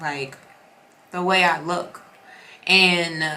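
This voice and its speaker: A woman speaks in an animated tone at a fairly low pitch. Audible room echo and noticeable background noise are present. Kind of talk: casual devotional vlog. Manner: fast when excited.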